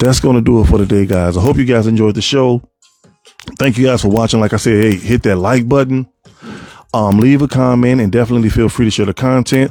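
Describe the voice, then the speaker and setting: Music plays behind a man who talks at a very fast pace. His medium-pitched voice has fairly even intonation and very even loudness. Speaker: podcast host. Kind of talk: casual monologue podcast.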